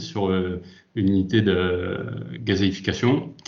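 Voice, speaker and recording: Audible room echo surrounds a man's voice. He speaks at a fairly low pitch with ordinary pitch variation. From France, Lyon. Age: 30s. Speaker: industrial safety manager. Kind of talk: interview. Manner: hesitant, many fillers.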